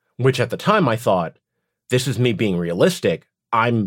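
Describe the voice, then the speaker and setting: A man with an American accent talks at a fairly quick pace and a medium pitch. The recording is very clean, with a silent background. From United States, moved from Beijing at about three. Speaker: voice actor and theme park performer. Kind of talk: casual interview. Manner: animated.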